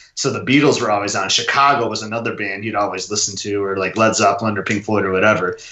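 Audible room echo surrounds a man with an American accent who speaks very fast at a fairly low pitch with fairly even intonation. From Michigan. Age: 30s. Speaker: Disney fan and runner. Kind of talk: casual chat.

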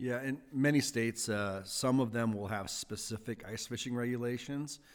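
With an American accent, this is a plain, everyday voice using fairly even intonation at a moderate pace. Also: man. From US Midwest, Wisconsin. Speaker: ice fishing association founder. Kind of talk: casual interview.

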